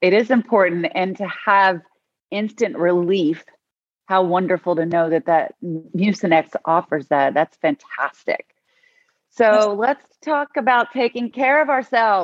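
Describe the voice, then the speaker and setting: The speech moves at a fairly slow pace. Its pitch swings very widely. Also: woman, medium pitch for a woman. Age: 50s. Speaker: talk show host. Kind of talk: interview chat.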